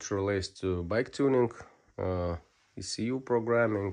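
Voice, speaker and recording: A man with a Lithuanian accent speaks at a fairly slow pace and fairly low pitch. The background is quiet. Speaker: motorcycle ECU tuning technician. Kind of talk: technical video tutorial. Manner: hesitant, many fillers.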